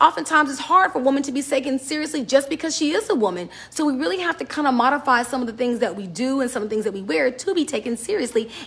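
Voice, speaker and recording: Loud and animated, a woman with a high voice races along at a very fast pace with hardly any pauses and very wide pitch swings, over noticeable background noise. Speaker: business and style advice vlogger. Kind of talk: casual talk to camera.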